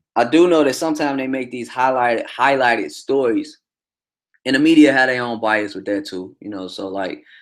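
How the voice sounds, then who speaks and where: A man talks with an American accent in an animated tone at a fairly quick pace. His pitch sits in the medium range with ordinary variation. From Chicago South Side. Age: 30s. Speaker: truck driver and livestream host. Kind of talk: casual livestream commentary. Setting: livestream with chat.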